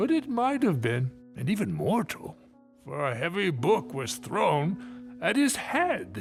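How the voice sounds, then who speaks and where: Over clear music in the background, a man does a put-on character voice, high in pitch with very wide pitch swings, at a fairly slow pace. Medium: audio drama.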